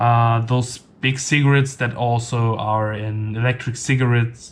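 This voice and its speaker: Somewhat breathy, a man speaks at medium pitch. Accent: non-native. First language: not English. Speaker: tech reviewer. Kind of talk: product review. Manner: halting, many fillers.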